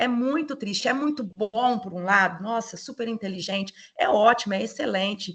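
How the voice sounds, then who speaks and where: Fairly high in pitch, a woman talks at a moderate pace with lively intonation and an ordinary speaking voice. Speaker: lecturer, educational psychologist. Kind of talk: online lecture.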